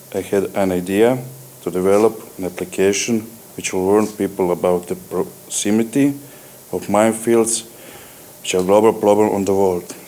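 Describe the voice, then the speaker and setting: Over noticeable background noise, a man with a Croatian accent speaks at a moderate pace and fairly low pitch, his intonation fairly even and his pauses long and frequent. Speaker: company CEO. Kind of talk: acceptance speech.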